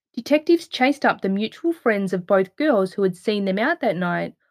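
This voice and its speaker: A woman at a fairly quick pace, serious in tone, her pitch swinging very widely, on a very clean recording with a silent background. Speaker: true crime narrator. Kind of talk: scripted true-crime narration, read solemnly in an even, factual tone. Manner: measured, serious, steady; formal, dispassionate, detailed.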